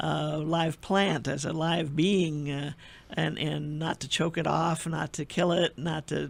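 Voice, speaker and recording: Monotone and flat, a man with an American accent talks in a fairly high voice. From US Midwest. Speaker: radio host. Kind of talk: radio interview.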